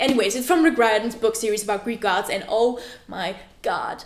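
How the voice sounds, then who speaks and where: A woman speaks at a fairly high pitch, with noticeable noise in the background. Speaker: book vlogger. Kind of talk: casual vlog. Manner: animated, excitable.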